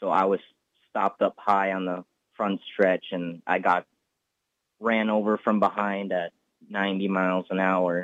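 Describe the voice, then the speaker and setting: Pausing long and often, a man speaks at a moderate pace in a fairly low pitch with monotone, flat intonation. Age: young. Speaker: race car driver. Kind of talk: interview.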